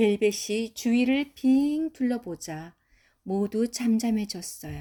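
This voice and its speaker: A woman's somewhat breathy, dark, mellow voice, fairly high in pitch, with ordinary pitch variation and a very slow pace. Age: old. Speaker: grandmother reading a picture book to her granddaughter. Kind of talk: children's storybook reading.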